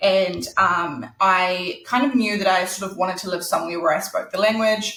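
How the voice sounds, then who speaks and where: Speaking with a New Zealand accent, a woman keeps a moderate pace with hardly any pauses, at a medium pitch with ordinary pitch variation. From New Zealand, Christchurch. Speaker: author. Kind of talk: interview. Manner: casual, many fillers.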